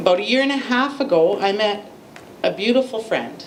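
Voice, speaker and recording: A woman with a Canadian accent, fairly quick and lively in intonation, over noticeable background noise. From Lethbridge, Alberta, Canada. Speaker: abuse survivor and advocate. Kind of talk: public speech.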